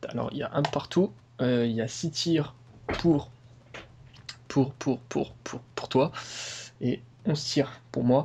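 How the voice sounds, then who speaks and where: A man's somewhat breathy voice, dark and mellow in tone, at a medium pitch with ordinary pitch variation, very slow pace and long, frequent pauses. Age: 20s. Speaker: gaming youtuber. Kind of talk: gameplay commentary. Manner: hesitant, many fillers.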